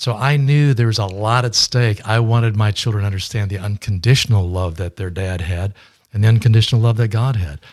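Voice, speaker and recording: Somewhat breathy and fairly low, a man speaks at a fairly quick pace with ordinary pitch variation. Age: 70s. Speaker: fundraising consultant and author. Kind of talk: interview. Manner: hesitant, filler words.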